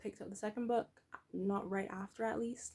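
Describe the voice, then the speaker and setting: Somewhat breathy and at a medium pitch, a woman talks at a fairly quick pace. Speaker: book vlogger. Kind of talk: casual chat. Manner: halting.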